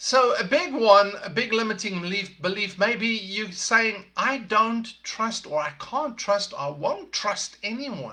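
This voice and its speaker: Speaking with a South African accent, a man with a high pitch and a bright, sharp tone projects his raised voice at a fairly slow pace, with lively intonation and hardly any pauses. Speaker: podcast host, leadership coach. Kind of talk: motivational talk. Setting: live podcast broadcast.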